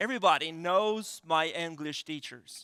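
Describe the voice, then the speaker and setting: Man with a Quebec accent, raised and projected, bright and sharp in tone, lively intonation, dry and close with no echo, very clean recording, silent background. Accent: French-Canadian accent in English. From Quebec City, Canada. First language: French. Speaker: pastor. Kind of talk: sermon. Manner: halting, many fillers.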